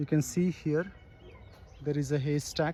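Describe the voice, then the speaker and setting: A man speaks with a fairly high pitch, fairly even intonation and a somewhat breathy quality. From South India, Kannada-speaking. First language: Kannada. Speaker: travel vlogger. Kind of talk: walking travel vlog commentary. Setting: outdoors in a village. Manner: casual, halting with fillers.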